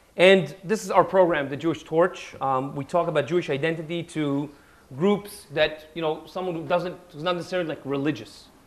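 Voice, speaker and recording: A man's fairly high voice moves at a fairly quick pace with fairly even intonation and big swings in loudness. Noticeable background noise is audible. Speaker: history lecturer. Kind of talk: lecture.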